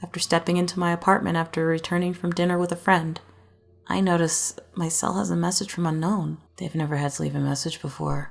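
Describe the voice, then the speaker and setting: Over music in the background, a woman speaks at a fairly quick pace, her fairly low pitch held in fairly even intonation. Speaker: creepypasta narrator. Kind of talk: horror story reading.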